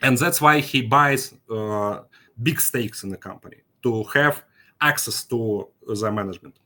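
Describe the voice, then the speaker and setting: This man has a bright, sharp tone at a medium pitch. His intonation is lively. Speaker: financial markets expert. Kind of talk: conference presentation. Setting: online conference with chat. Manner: halting, many fillers.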